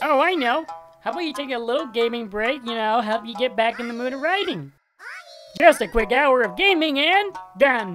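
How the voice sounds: A cartoonish character voice at a fairly high pitch and moderate pace, with faint music in the background.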